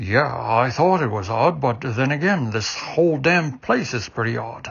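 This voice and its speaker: A man puts on a character voice at a medium pitch. He speaks at a moderate pace with lively intonation. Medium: read story. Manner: blunt, gruff.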